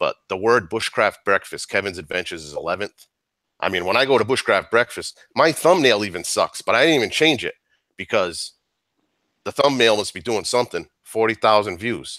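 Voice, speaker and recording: In a very clean recording with a silent background and a dry, close sound with no echo, a man speaks at a fairly quick pace with a medium pitch, a bright, sharp, animated tone, and lively intonation. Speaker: outdoors YouTuber. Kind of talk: live stream chat. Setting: live stream.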